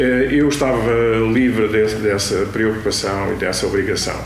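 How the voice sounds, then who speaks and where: Noticeable background noise and audible room echo behind fairly even intonation. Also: man. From Portugal, Aveiro region (Cacia). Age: 60s. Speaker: local community figure. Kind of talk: interview testimony, reminiscing. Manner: halting, many hesitations.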